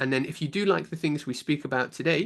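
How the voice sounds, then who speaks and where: Over a quiet background, a man with a British accent talks at a very fast pace with ordinary pitch variation. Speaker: science teacher giving a conference talk. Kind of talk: conference lecture.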